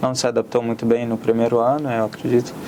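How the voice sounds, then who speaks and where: Fairly quick speech with an Arabic accent over noticeable background noise. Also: man. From Syria, Aleppo. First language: Arabic (speaking Portuguese). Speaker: immigrant, student. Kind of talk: interview.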